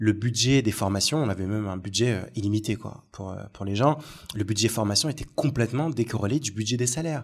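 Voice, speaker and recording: With ordinary pitch variation and a somewhat breathy quality, this man moves at a fairly quick rate. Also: medium pitch for a man, very clean recording, silent background. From Algeria. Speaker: negotiation coach and recruiter. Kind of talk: casual chat. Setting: coworking space.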